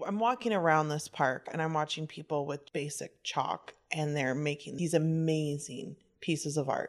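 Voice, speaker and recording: A woman's very deep, low voice at a moderate pace, with ordinary pitch variation and hardly any pauses. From southern New Mexico. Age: 30s. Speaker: burlesque dancer and troupe founder. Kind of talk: casual chat. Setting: at home.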